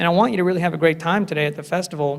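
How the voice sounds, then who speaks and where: Here a man talks at a very fast pace. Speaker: lawyer and vegan festival speaker. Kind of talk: public talk. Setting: stage with audience. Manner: animated.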